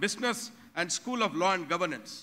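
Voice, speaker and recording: Projecting a raised voice with a bright, sharp tone, a man talks at a moderate pace with ordinary pitch variation. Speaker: university head giving report. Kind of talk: formal ceremonial speech. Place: hall. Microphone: podium.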